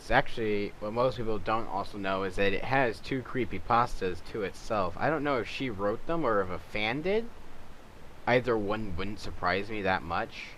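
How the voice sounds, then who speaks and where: A man speaks at a moderate pace in a fairly low pitch, with ordinary pitch variation. Audible room echo surrounds his voice. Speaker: YouTuber making game skins. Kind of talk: casual tutorial commentary.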